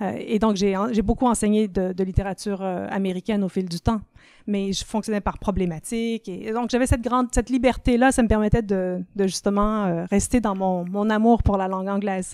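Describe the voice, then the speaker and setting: A woman's dark, mellow tone at medium pitch, fairly quick pace and fairly even intonation, on a very clean recording with a silent background. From Ontario, Canada (francophone, Quebecois parents). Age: 50s. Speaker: literature professor and writer. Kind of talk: podcast interview.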